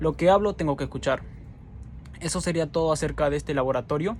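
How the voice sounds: A man talks at a fast pace with a fairly high pitch. His tone is slightly mellow, with ordinary pitch variation.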